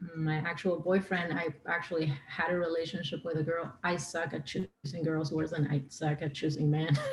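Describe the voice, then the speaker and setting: With an Argentine accent, a woman speaks in a very deep, low pitch with monotone, flat intonation and hardly any pauses, over noticeable background noise. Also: moderate pace. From Argentina. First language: Spanish. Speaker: singer-songwriter. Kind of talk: podcast interview. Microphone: too quiet.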